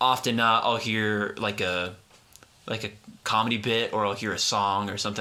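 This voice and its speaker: A man speaks at a medium pitch. His words come out mumbled. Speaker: podcast host. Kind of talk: casual chat. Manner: mumbling.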